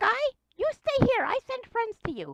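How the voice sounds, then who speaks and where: The voice is a put-on character, squeaky and extremely high in pitch. It moves along at a moderate pace. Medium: actual play. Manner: clipped broken grammar, refers to self in third person.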